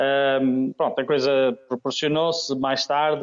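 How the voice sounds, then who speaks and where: Here a man talks. His voice sounds close and dry, free of any echo. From Oliveira de Azeméis, Aveiro district, Portugal. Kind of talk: radio interview. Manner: halting.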